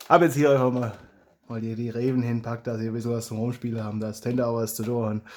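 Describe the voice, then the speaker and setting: Very fast and monotone, with flat intonation, a man talks at a medium pitch. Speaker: hobby blaster modder and YouTuber. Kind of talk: casual talk to camera.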